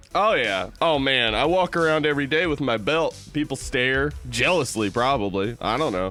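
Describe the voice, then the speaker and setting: Music plays in the background while a man talks. His pitch is medium and his loudness stays very even. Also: lively intonation, moderate pace, hardly any pauses. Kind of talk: casual, joking.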